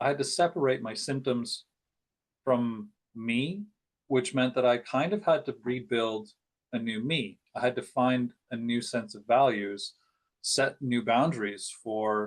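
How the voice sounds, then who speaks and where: Here is an ordinary speaking voice from a man at medium pitch. He talks at a fairly slow pace with ordinary pitch variation. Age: 40s. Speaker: podcast host and life coach. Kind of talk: casual conversation.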